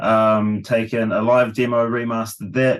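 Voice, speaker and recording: Someone with a New Zealand accent speaks over a quiet background. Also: man. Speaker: rock vocalist. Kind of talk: casual interview.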